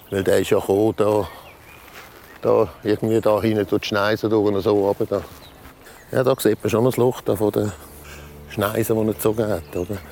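Against noticeable background noise, a man with a fairly low pitch talks at a moderate pace with fairly even intonation and long, frequent pauses. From Switzerland, canton Zurich. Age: 60s. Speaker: volunteer firefighter. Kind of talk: testimony. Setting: at home, dining table.

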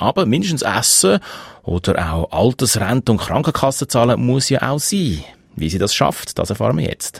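Dry and close with no echo, a man with a Swiss accent speaks at medium pitch and moderate pace, using very wide pitch swings and vocal fry. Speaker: radio host. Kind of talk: radio presenting.

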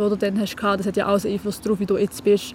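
This is a woman speaking at a medium pitch. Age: 20s. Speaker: young writer. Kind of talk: interview.

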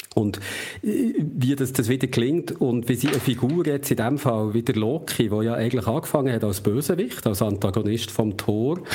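Over noticeable background noise, a man with a Swiss accent speaks at a medium pitch and a moderate pace with very even loudness. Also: ordinary pitch variation. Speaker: podcast co-host, culture journalist. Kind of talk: casual chat.

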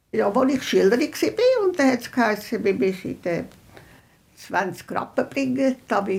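The woman speaks at a very slow pace. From Central Switzerland, Rigi. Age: 90s. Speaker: eyewitness, hotelier's granddaughter. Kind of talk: interview recollection.

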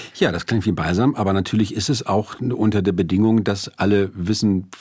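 A man's plain, everyday voice, fairly low in pitch, with ordinary pitch variation and a moderate pace. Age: 50s. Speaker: author and music critic. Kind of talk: radio interview. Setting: studio.

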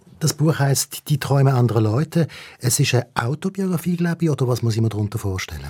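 A man's somewhat breathy, dark, mellow voice at medium pitch, very fast pace, lively intonation and very even loudness, over a very clean, silent background. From Switzerland. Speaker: radio host. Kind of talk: casual chat.

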